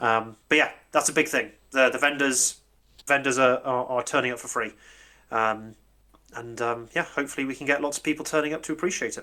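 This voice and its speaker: A man with a British accent, bright and sharp in tone, at a fairly quick pace with long, frequent pauses, fairly even intonation and big swings in loudness, on a very clean recording with a silent background. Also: medium pitch for a man. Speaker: convention organiser. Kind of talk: casual chat. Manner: halting.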